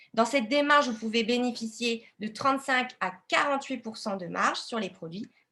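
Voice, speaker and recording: Fairly high and bright, with a sharp tone, a woman's voice moves at a moderate pace with ordinary pitch variation. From Lille, northern France. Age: 20s. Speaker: independent entrepreneur, network marketing. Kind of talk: business opportunity presentation, live webinar.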